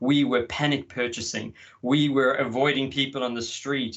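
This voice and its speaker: At a moderate pace, a man talks in a medium pitch with an Australian accent. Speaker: market research consultant. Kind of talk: conference presentation. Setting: video call from home. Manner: animated.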